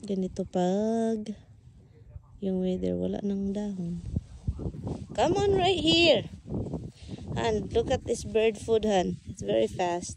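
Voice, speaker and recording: A woman speaks at a very slow pace, leaving long, frequent pauses. Noticeable background noise is present. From Philippines. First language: Tagalog/Bisaya. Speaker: vlogger. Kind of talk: casual vlog chat.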